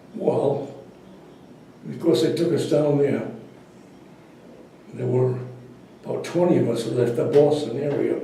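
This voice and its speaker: A man with an American accent talks at a fairly slow pace, leaving long, frequent pauses. His pitch is fairly high with ordinary variation, over noticeable background noise. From Providence, Rhode Island, USA. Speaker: WWII Navy veteran. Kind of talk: interview answer, recounting his military service.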